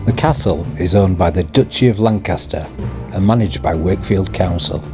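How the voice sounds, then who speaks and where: With music in the background, a man in a Yorkshire accent talks at a fairly quick pace, his very deep, low voice holding very even loudness and lively intonation. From Yorkshire, England. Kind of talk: history narration over walking video.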